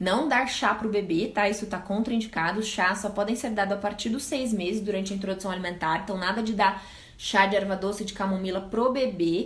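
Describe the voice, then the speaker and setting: A woman at medium pitch, fairly quick and fairly even in intonation, with hardly any pauses, plus audible room echo and noticeable background noise. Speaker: pediatrician. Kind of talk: live stream Q&A talk. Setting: live stream. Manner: fast.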